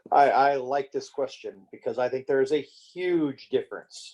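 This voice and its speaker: The speaker is a man. He goes at a fairly slow pace. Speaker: discussion participant. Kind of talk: group book discussion. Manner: loud; halting.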